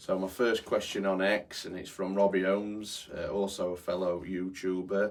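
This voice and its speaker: With a Yorkshire accent, a man talks at a fairly low pitch in a monotone, flat intonation with hardly any pauses. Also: moderate pace. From born in London, raised in Yorkshire. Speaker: football groundhopping vlogger. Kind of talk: casual Q&A monologue. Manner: hesitant, many fillers.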